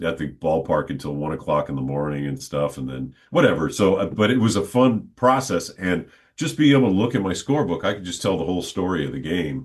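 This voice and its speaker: A man speaks with very deep, low pitch and vocal fry. His pace is fairly quick, with very wide pitch swings. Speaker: stadium PA announcer and podcaster. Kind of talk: interview answer, casual conversational talk. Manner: conversational, with hesitations and filler words.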